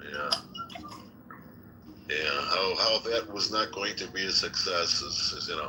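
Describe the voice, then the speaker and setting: A man speaks at a fairly slow pace with long, frequent pauses, over noticeable background noise. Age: 60s. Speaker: political candidate and podcast host. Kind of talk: casual chat.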